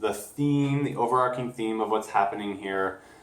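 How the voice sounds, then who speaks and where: This man's medium pitch shows ordinary variation, and noticeable background noise runs under it. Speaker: tarot card reader. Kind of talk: spiritual reading to camera. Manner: slurred words.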